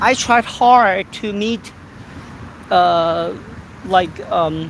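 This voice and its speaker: A woman with a Korean accent at medium pitch, ordinary pitch variation and a very slow pace, amid noticeable background noise. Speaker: YouTuber. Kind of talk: casual live-stream chat. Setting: outdoors walking. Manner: halting, many fillers.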